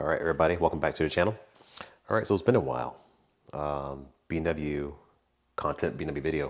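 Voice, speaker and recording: The speech moves at a very fast pace with vocal fry and ordinary pitch variation. Long pauses come often. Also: man, very deep, low pitch for a man. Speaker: car youtuber. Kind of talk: tutorial. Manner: speaking low.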